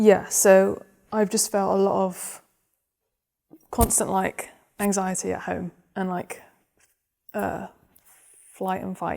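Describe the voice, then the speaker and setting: In a southern English accent, a woman talks very slowly at a medium pitch, her tone dark and mellow, her intonation monotone and flat, with long, frequent pauses and big swings in loudness. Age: 20s. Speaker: therapy client with chronic illness. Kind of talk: personal testimony in therapy session. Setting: therapy room, filmed. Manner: hesitant, many fillers.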